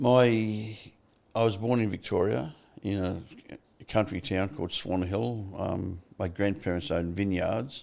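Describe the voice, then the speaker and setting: This man has an Australian accent and a fairly low pitch. His pitch varies in an ordinary way. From Australia, Melbourne (Fitzroy). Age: 70s. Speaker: former prisoner turned recovery advocate. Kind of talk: interview. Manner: casual, halting.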